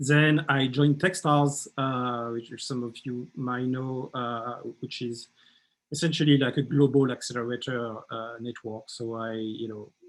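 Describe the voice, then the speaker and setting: A man with a French accent, medium pitch, fairly even intonation, big swings in loudness and a fairly slow pace. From France. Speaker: startup mentor and workshop leader. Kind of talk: workshop presentation. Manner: halting, many fillers and repetitions.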